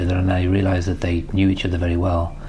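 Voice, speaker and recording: A man with a British accent at a very fast pace, very deep and low in pitch, amid noticeable background noise and audible room echo. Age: 60s. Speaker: business mentor. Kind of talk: recorded personal tribute message.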